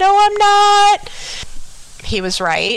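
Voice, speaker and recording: Noticeable background noise sits behind a woman with an American accent. Her intonation is fairly even. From Miami, Florida. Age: 40s. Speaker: school psychologist. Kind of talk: testimony.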